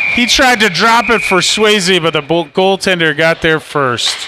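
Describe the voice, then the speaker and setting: Speaking at a very slow pace, a man projects a raised, high-pitched voice with lively intonation and very even loudness over noticeable background noise. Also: dry sound with no echo. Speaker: parent or amateur play-by-play commentator. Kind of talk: live sports commentary, co-commentator; sports commentary. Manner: casual, hesitant, with fillers. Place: stadium. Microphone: phone near.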